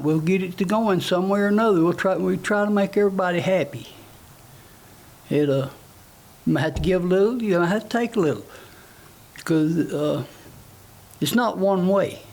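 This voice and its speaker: Long, frequent pauses break up speech in a Tennessee accent at a very even loudness. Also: man. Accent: rural Southern US (Tennessee). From US South, Tennessee (Palmer, Grundy County). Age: 60s. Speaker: political candidate. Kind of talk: interview. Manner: halting, many fillers.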